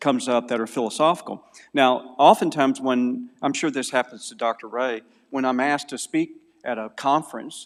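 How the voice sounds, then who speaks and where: Lively intonation marks this man's speech in a Southern US accent. His pace is moderate. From US South, Mississippi. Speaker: philosophy lecturer and apologist. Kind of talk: conference lecture.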